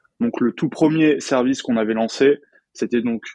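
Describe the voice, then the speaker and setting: A man's unremarkable speaking voice at medium pitch and moderate pace, dry and close with no echo. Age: 20s. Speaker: French teacher and entrepreneur. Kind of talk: casual interview chat.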